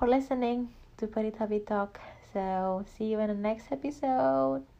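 A woman with an Indonesian accent talks fairly slowly at a fairly high pitch. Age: 20s. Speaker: podcast host. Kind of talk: personal monologue. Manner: halting.

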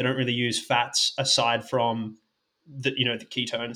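A man speaks with an Australian accent. His tone is bright and sharp, and his pace is moderate. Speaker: sports scientist and podcast co-host. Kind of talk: casual podcast chat.

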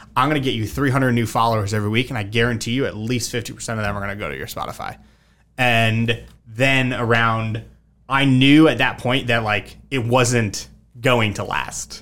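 At a fairly quick pace, a man with an American accent speaks at medium pitch with fairly even intonation in an unremarkable speaking voice. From Connecticut. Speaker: entrepreneur. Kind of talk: casual chat.

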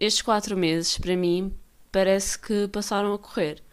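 On a very clean recording with a silent background, a woman speaks at a moderate pace. Her pitch variation is ordinary. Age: 20s. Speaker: podcast host. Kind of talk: casual monologue. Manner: filler-heavy, unfinished sentences.

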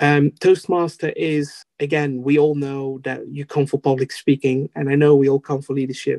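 A man with a Dutch accent speaks in a fairly high, dark and mellow voice, flat and monotone. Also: moderate pace, dry, close sound with no echo. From Netherlands. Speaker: Toastmasters district officer, IT professional. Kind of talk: interview, casual chat. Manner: halting, hesitant with fillers.

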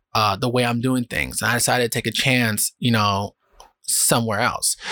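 Speaking with a New York accent, a man uses a medium pitch, a bright, sharp tone and a moderate pace on a very clean recording with a silent background. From New York City, South Bronx. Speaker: podcast host. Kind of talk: casual solo monologue. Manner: calm, less energetic than usual.

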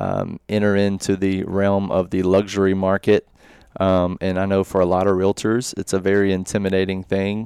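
A man with a Tennessee accent speaks at a moderate pace in a fairly low, dark, mellow voice, his intonation monotone and flat, the sound dry and close with no echo against a quiet background. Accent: Southern US (Tennessee). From Middle Tennessee, Murfreesboro. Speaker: real estate agent. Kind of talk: casual interview.

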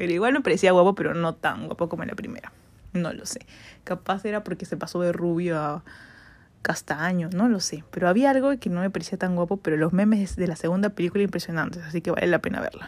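A woman speaks very fast. Her pitch varies in an ordinary way. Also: fairly low pitch for a woman. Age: 20s. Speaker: podcast host. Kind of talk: casual solo monologue.

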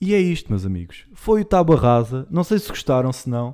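This man has a dark, mellow tone, a fairly high pitch and lively intonation at a moderate pace. The recording is very clean with a silent background. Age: 20s. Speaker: podcast host. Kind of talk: casual monologue.

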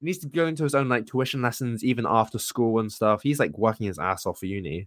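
With lively intonation, a man talks in an ordinary speaking voice. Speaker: podcast co-host. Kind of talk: casual chat.

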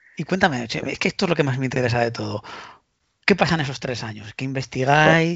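Talking at a very fast pace in a Spanish accent, a man keeps a medium pitch with ordinary pitch variation. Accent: Peninsular Spanish. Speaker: podcast host. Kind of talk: interview. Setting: remote call.

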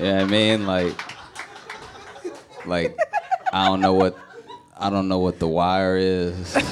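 Amid noticeable background noise, the speech moves at a fairly slow pace with monotone, flat intonation and long, frequent pauses. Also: man, very deep, low pitch for a man. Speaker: comedian. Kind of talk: casual chat.

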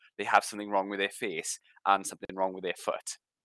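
In a South Welsh accent, a man talks at a fairly quick pace with a bright, sharp tone. The sound is dry and close with no echo. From South Wales, Rhondda Cynon Taff. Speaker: podcast co-host. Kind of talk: casual chat.

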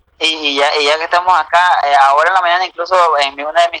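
At a fairly quick pace, a man with a bright, sharp tone keeps his intonation fairly even, the sound dry and close with no echo. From United States. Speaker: incarcerated youtuber. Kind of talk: casual chat.

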